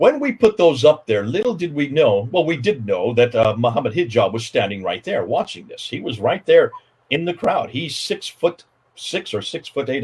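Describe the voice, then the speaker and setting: The voice is somewhat breathy, with an American accent. It moves at a fairly quick pace through very wide pitch swings. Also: man. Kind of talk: livestream interview. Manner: animated.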